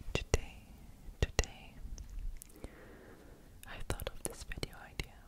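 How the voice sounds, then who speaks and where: A woman whispers at a fairly slow pace. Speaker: ASMR creator. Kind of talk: ASMR video, soft-spoken positive message reading. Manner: soft whispers, calming. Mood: calm, caring, reassuring. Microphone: studio mic.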